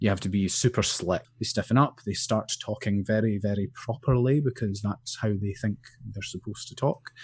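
A man speaks at a moderate pace with fairly even intonation and a somewhat breathy voice. His loudness swings widely. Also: fairly low pitch for a man. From Scotland, Angus (Forfar). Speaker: video editor and producer. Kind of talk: interview chat. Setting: video call.

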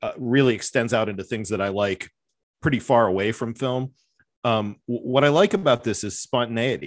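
An unremarkable speaking voice talks at a moderate pace. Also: man. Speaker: professor and podcast host. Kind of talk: casual chat.

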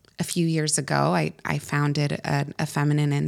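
A woman speaks with a Californian accent. The recording is very clean with a silent background. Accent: Californian American. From Northern California, US. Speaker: entrepreneur, former founder of a feminine wellness brand. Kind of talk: casual interview.

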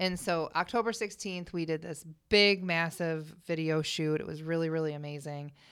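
Here is a woman with a plain, everyday voice and an American accent, pitched fairly low. She talks at a moderate pace with fairly even intonation over a very clean recording and silent background. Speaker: singer. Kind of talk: casual chat. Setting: studio.

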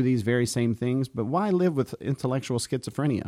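A man's unremarkable speaking voice at medium pitch, fairly quick pace and lively intonation, on a very clean recording with a silent background. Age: 40s. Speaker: pastor. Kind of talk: podcast discussion of scripture.

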